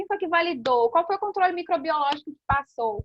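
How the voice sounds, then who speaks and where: This woman's voice sits extremely high, animated in tone, with very wide pitch swings at a fairly quick pace. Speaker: aesthetics instructor. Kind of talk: online class lecture. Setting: live online class with chat.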